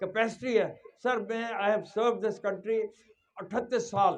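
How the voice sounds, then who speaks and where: Speaking at a moderate pace, a man with a high pitch keeps his intonation fairly even. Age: 70s. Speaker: trust president. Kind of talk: speech at school event.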